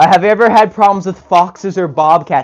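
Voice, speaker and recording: A man's voice over noticeable background noise. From Canada. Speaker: chicken keeper streamer. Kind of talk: live stream chat. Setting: chicken coop.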